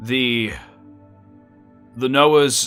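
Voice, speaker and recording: A man performs in a put-on character voice while faint music plays in the background. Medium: actual play. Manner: formal, measured, courtly.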